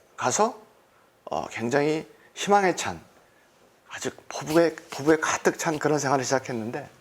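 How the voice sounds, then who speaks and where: A man with a fairly high voice swings very widely in pitch while speaking at a moderate pace. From South Korea. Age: 60s. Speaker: entrepreneur giving testimony. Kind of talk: testimony.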